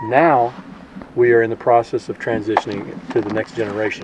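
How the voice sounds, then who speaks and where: Against noticeable background noise, a man with an American accent and a medium pitch talks at a moderate pace with fairly even intonation. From South Texas. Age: 60s. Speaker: farmer. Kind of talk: interview.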